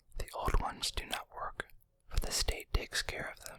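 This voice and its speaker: Whispering at a moderate pace, a man speaks. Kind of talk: read story. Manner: whispered.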